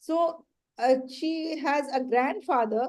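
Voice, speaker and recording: A woman with a Pakistani accent speaks in a high pitch with ordinary pitch variation. Her tone is dark and mellow. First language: Urdu. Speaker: education trainer and author. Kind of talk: training workshop.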